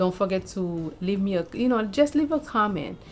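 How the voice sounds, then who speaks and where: This woman speaks with a Haitian accent at a medium pitch. Her pace is moderate. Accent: Haitian Creole. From Haiti, Saint-Marc. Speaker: lifestyle vlogger. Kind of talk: casual vlog chat.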